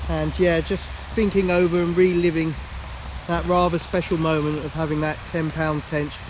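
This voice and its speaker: The speaker has an English accent and a moderate pace with fairly even intonation. Noticeable background noise is present. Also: man. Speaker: angler vlogger. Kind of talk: casual vlog to camera. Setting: outdoors by a lake. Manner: loud.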